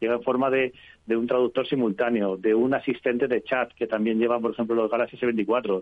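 A man's medium-pitched voice, monotone and flat, very even in loudness, at a fairly quick pace. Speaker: technology journalist. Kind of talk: radio interview. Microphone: connection dropped.

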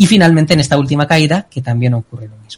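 A man talks at a very fast pace in a fairly high, somewhat breathy voice. His pitch varies in an ordinary way. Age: 20s. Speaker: doctoral student and analyst. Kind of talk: casual chat.

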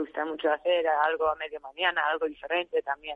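Fairly quick and fairly low-pitched, a woman talks. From US, Arizona. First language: English (speaking Spanish). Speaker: restaurant director. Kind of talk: radio interview. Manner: halting.

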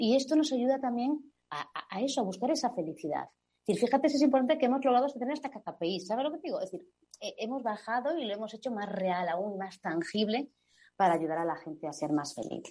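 A woman's high, dark and mellow voice at a fairly quick pace, with very wide pitch swings. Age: 40s. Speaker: advertising agency executive. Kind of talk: interview.

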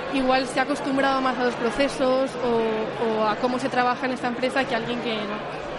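Over crowd noise and audible room echo, a woman with a high pitch speaks at a fairly quick pace with monotone, flat intonation. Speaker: operations employee. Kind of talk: radio interview. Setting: company event.

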